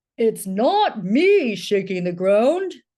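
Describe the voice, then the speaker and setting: Using a put-on character voice, a woman speaks at a fairly high pitch. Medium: read story.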